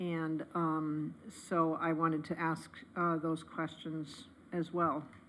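A woman is speaking. Her pitch sits fairly low. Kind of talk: meeting discussion. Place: meeting room. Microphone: podium.

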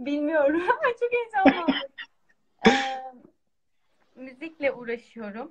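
A woman with a high-pitched voice speaks at a very slow pace, her pitch swinging very widely, with long, frequent pauses and light background noise. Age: 20s. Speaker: music student, bağlama player; guest. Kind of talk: live stream call-in. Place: home room. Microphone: video call.

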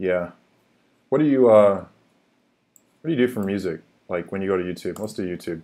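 A man with an American accent speaks at a fairly quick pace, his pitch fairly low and his tone dark and mellow. His pitch varies in an ordinary way, with long, frequent pauses over a quiet background. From US, Seattle. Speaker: YouTube crypto channel host. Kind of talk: casual live-stream chat. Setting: live stream, home office. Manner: halting, many fillers. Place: home room. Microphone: webcam.

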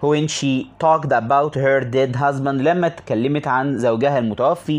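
The voice belongs to a man with a fairly high pitch. He talks at a medium speed. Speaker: English teacher. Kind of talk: tutorial.

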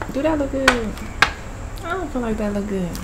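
Loud background noise fills the recording. Through it, a woman speaks with ordinary pitch variation. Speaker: mukbang vlogger. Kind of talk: casual vlog chat. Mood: playful, joking. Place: home room. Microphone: phone near.

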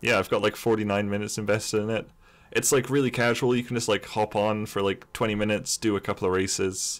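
This man has a fairly low voice and a flat, monotone delivery at a fairly quick pace. The recording is very clean, with a silent background. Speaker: gaming podcaster. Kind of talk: casual chat.

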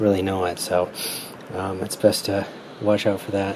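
A man talks at a moderate pace with light background noise behind him. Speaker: ham radio hobbyist. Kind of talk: tutorial. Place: home room.

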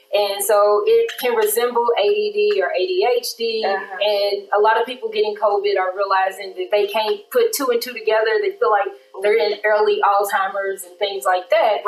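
Audible room echo surrounds a woman speaking at a moderate pace. Her fairly high voice keeps a fairly even intonation. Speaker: attorney. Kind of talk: personal testimony in casual interview. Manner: open, candid and conversational. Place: studio.

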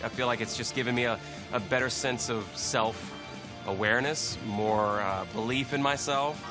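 Clear music plays in the background as a man speaks at a moderate pace with fairly even intonation. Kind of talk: interview answer. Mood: reflective, grateful. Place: studio. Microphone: lapel.

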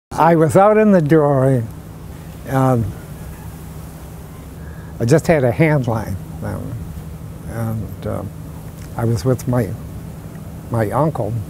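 A man speaks at a very slow pace with long, frequent pauses and very wide pitch swings. His voice is dry with no echo, over noticeable background noise. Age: 80s+. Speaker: former dory fisherman, WWII veteran. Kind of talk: interview answer. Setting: home interview. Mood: relaxed, reminiscing. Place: garden.

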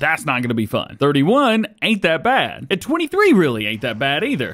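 A man is speaking here. His voice moves in very wide pitch swings. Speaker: gaming YouTuber. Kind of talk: let's play commentary. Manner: casual, self-deprecating.

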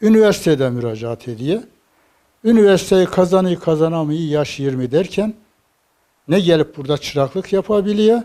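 A man speaks with a high pitch and a dark, mellow tone. His intonation is lively. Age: 70s. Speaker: carpenter. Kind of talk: interview answer.

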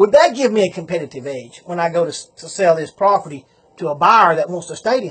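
With a Southern US accent, a man speaks using lively intonation. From Southern United States. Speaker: auctioneer. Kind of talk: business advice talk to camera. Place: home room. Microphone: phone near.

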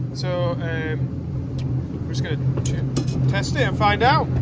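Loud background noise sits under a man's voice, which has a dry sound with no echo. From England. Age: 20s. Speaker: farmer and vlogger; vlogger. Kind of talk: casual vlog narration. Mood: cheerful, relaxed. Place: farm. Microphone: phone near.

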